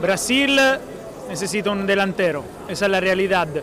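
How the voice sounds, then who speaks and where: Amid noticeable background noise and audible room echo, a man with an Italian accent speaks at a fairly slow pace in a high voice. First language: Italian (speaking Spanish). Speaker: sports journalist. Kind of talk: casual discussion. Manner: halting.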